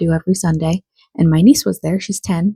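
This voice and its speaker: Dry and close with no echo, a woman's voice with fairly low pitch and a dark, mellow tone comes out somewhat breathy at a fairly quick pace. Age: 30s. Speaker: book vlogger. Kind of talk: casual vlog talk. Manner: casual, with fillers.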